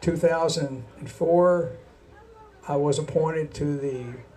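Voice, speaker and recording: Over noticeable background noise and audible room echo, a man talks fairly slowly with fairly even intonation and a fairly high pitch. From Kentucky. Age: 70s. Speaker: city council candidate, retired accountant. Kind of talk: campaign speech at candidates forum. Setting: bar venue with live audience. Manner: halting. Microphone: too far from the mic, hard to hear.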